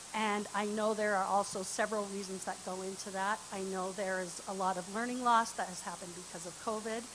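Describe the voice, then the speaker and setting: A woman with a medium-pitched voice speaks at moderate speed amid noticeable background noise. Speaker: parent advisor giving public comment. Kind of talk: public comment at school board meeting. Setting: board meeting room with microphone, streamed online. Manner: loud.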